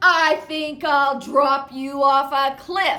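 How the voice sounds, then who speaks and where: A woman bellows in a high-pitched, put-on character voice at a very slow pace, with faint music in the background. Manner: bellowing, booming.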